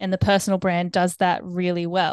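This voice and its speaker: A woman with an Australian accent speaks at medium pitch against a quiet background, the sound dry and close with no echo. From Australia, Brisbane. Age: 20s. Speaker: photographer and videographer. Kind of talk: podcast interview.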